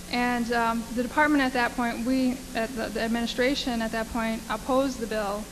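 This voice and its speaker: Over noticeable background noise and audible room echo, a woman with an American accent talks fairly quickly in a fairly high pitch, her intonation monotone and flat. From US Midwest, Wisconsin (Menominee Reservation). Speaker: lobbyist. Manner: halting, many fillers.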